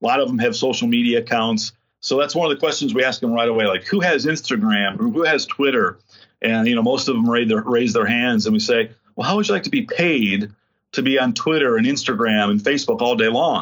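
A man speaks in a normal speaking voice at medium pitch, with ordinary pitch variation. His pace is fairly quick and his loudness very even. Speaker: corporate community engagement director. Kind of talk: interview.

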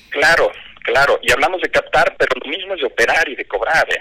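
A man talks at a moderate pace with a dry, close sound and no echo. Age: 50s. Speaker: fintech company CEO. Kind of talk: radio interview.

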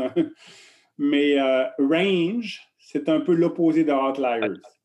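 Man with lively intonation. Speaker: coaching researcher. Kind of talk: interview. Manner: halting, repeats words.

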